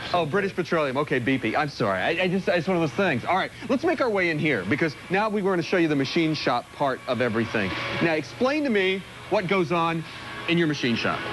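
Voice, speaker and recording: High-pitched male speech at a very fast pace, with lively intonation, very even loudness and noticeable background noise. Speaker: TV morning show field reporter. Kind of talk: live TV field segment, casual interview. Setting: automotive machine shop. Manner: animated, talks with his hands.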